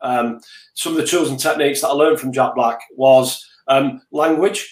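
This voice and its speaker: A man speaks with a Mancunian accent. His pitch is fairly high and his pace moderate. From Manchester, England. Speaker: business leader. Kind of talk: interview. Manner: repetitive stammering starts.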